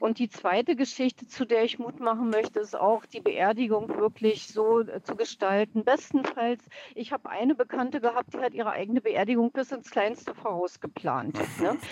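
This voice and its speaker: A woman's ordinary speaking voice, fairly high in pitch with ordinary pitch variation, at a moderate pace with hardly any pauses, dry and close with no echo. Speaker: caller. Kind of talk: phone-in testimony. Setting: phone call from a parked car.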